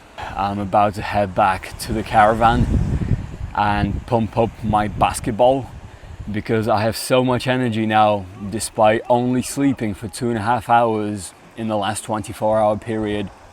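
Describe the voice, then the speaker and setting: Against noticeable background noise, a man speaks at a fairly slow pace in a fairly low, monotone, flat voice. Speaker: travel vlogger. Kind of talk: travel vlog narration. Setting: outdoors. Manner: shaky, almost stuttering.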